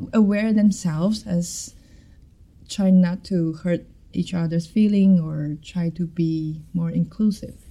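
A woman with a dark, mellow tone speaks very slowly with fairly even intonation. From Taiwan. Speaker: MBA student, club president. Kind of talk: casual chat. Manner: halting.

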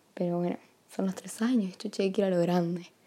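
In a Rioplatense accent, a woman with a dark, mellow tone talks at medium pitch in a monotone, flat intonation. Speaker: partner making a gift podcast. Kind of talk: personal recorded message. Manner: casual, hesitant with fillers.

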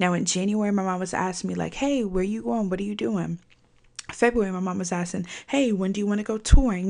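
A woman's very fast, animated delivery at a medium pitch, with ordinary pitch variation. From Virginia. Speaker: podcast host. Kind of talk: casual monologue. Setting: recording at a microphone.

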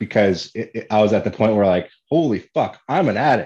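A loud voice with ordinary pitch variation. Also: man, quiet background. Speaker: podcast host. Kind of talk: casual interview chat. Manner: outgoing and loud.

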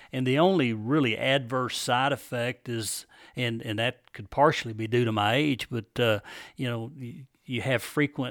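A man talks in a plain, everyday voice at a medium pitch and moderate pace. His intonation is fairly even, and the recording is very clean with a silent background. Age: 60s. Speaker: prostate cancer survivor. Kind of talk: casual interview chat.

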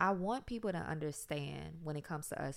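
A woman with an American accent talks at a fairly quick pace in a very deep, low pitch, with vocal fry. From South Side of Richmond, Virginia, US South. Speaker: podcast co-host. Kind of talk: casual chat.

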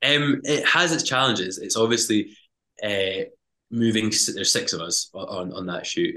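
A man with a Highland Scottish accent speaks at a moderate pace. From Scottish Highlands (Lochalsh). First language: Scottish Gaelic. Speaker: TV presenter and climber. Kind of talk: casual interview chat.

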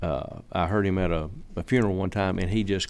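With a Southern US accent, a man talks at a very fast pace in a very deep, low pitch. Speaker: landscaper and church member. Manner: reflective, sincere, wandering, hesitant with fillers.

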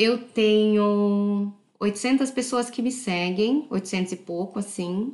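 A woman's fairly high voice at a very slow pace, with ordinary pitch variation and hardly any pauses. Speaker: podcast host. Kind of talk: casual monologue. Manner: unscripted, conversational.

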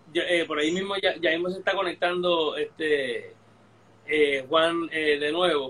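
This man's pitch is high, and his intonation stays fairly even. He talks at a fairly slow pace. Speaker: history podcast host. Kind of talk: casual history discussion on a live stream. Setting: live online video stream.

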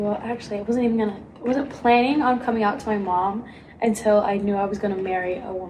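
Amid noticeable background noise and audible room echo, a woman with a fairly high voice speaks at a very fast pace with ordinary pitch variation. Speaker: college theater student, podcast co-host. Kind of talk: casual chat.

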